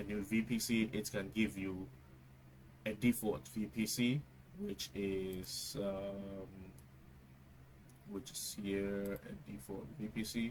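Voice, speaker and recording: With a Ghanaian accent, a man speaks at a very slow pace with lively intonation and long, frequent pauses. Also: fairly low pitch for a man. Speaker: tech tutorial youtuber. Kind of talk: tutorial. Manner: hesitant, many fillers.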